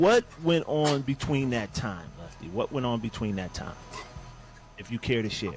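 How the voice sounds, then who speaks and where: With a Northern US accent, a man talks at a moderate pace and medium pitch, his intonation lively, while music plays in the background. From Bridgeport, Connecticut. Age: 50s. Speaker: podcast host. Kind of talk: interview conversation.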